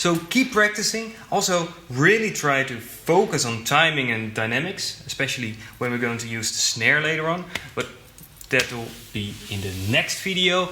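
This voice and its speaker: Over noticeable background noise and audible room echo, a man with a fairly high pitch speaks at a moderate pace, his pitch swinging very widely. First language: not English. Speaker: drum teacher. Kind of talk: tutorial.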